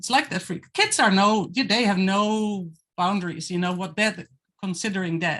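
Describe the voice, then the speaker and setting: A woman at medium pitch and a fairly slow pace, over a quiet background. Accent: non-native. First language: not English. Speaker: guest artist on panel. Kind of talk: casual chat. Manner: halting.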